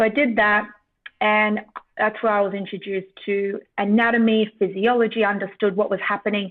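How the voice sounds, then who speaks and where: A woman speaks with an Australian accent. Her intonation stays flat and monotone. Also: moderate pace. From Australia, Sydney. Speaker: neuroscientist and former triathlete. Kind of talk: podcast interview.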